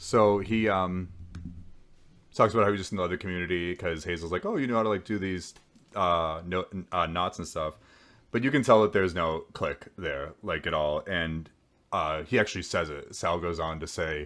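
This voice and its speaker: Very deep and low, a man's voice moves at a moderate pace with ordinary pitch variation on a very clean recording with a silent background. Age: 30s. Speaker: podcast host recapping a reality show. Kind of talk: casual recap commentary.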